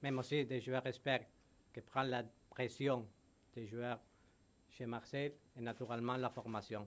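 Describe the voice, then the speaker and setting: A man with a Spanish accent talks at a fairly slow pace in a medium pitch, his monotone, flat delivery broken by long, frequent pauses. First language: Spanish (speaking French). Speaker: football club executive. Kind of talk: press conference. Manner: halting.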